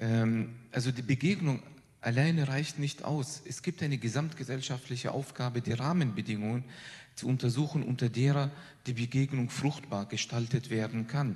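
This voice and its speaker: A somewhat breathy man with a medium pitch speaks at a moderate pace. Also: ordinary pitch variation. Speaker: professor of Islamic theology. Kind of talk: panel statement.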